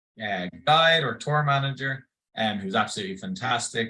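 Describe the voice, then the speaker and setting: Lively in intonation, a man speaks with an Irish accent. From Ireland, Dublin. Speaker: tour company representative. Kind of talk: online info session presentation.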